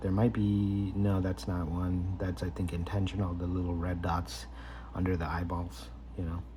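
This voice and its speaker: A man with a very deep, low pitch and lively intonation is heard with audible room echo and noticeable background noise. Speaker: card collector YouTuber. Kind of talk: casual unboxing commentary. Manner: hesitant, many fillers; slow, deliberate.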